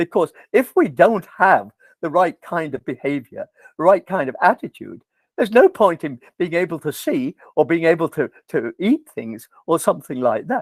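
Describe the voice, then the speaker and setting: With an English accent, a man speaks at a moderate pace in a high pitch with very wide pitch swings, in a dry, close sound with no echo. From England. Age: 80s+. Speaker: professor. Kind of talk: lecture. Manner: animated.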